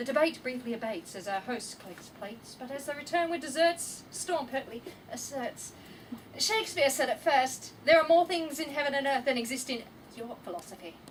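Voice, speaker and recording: Against noticeable background noise, a high-pitched woman speaks with lively intonation and big swings in loudness. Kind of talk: poetry reading. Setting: live event.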